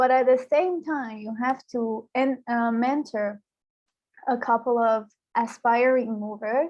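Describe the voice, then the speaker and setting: Speaking at a fairly slow pace in an Iranian accent, a woman keeps her high-pitched voice fairly even in intonation. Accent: Iranian (Persian) English. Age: 20s. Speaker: youth programme mentor. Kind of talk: interview.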